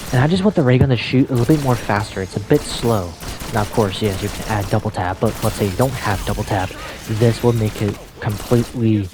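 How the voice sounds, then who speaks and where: The speaker is soft-spoken and talks at a fairly quick pace. Music plays in the background. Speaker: gaming video creator. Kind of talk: casual monologue. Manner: quiet, soft-spoken; halting. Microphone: voice may be cutting out.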